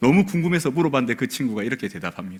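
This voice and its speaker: His pitch rises and falls very widely. The man's pace is very fast. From South Korea, Busan. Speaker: pastor. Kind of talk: sermon. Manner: soft-spoken.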